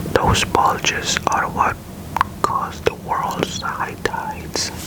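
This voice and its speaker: Very slow whispering amid noticeable background noise. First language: not English. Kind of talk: ASMR space facts narration.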